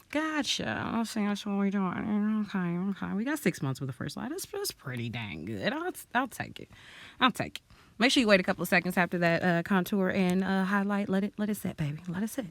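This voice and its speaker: Loud and animated, the voice moves at a fairly quick pace with very wide pitch swings on a very clean recording with a silent background. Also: woman, medium pitch for a woman. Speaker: beauty vlogger. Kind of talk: storytime while doing makeup.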